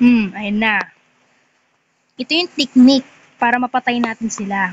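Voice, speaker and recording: Soft-spoken and high in pitch, a woman talks at a fairly slow pace with ordinary pitch variation. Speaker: gaming vlogger. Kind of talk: gameplay commentary.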